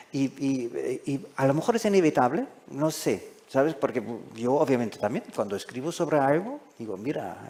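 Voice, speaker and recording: The voice carries a dark, mellow tone. Its pitch swings very widely. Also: man, fairly high pitch for a man, moderate pace. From Germany. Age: 60s. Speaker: foreign correspondent. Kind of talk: panel discussion. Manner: halting.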